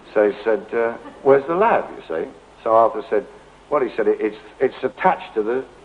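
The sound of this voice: Reading aloud in an unforced voice.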